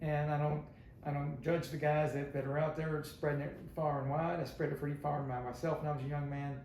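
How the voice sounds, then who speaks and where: A man speaks at a fairly quick clip in a fairly high pitch, his intonation flat and monotone. The room echoes audibly, and noticeable background noise runs underneath. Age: 70s. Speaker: stand-up comedian. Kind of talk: podcast interview.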